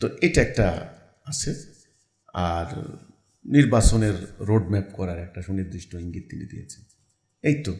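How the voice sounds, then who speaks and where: Big swings in loudness, lively intonation and a somewhat breathy sound. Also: man, fairly low pitch for a man. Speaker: religious movement leader. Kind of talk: interview. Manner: halting.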